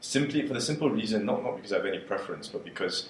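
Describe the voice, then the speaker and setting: Audible room echo around a man speaking. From Singapore. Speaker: dating coaching alumnus. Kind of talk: interview.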